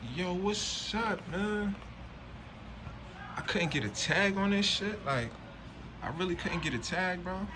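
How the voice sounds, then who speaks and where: A man's raised, projected voice at a high pitch, animated in tone, fairly slow with long, frequent pauses and ordinary pitch variation, amid noticeable background noise and audible room echo. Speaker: streetwear unboxing reviewer. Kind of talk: casual unboxing review. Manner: slurred.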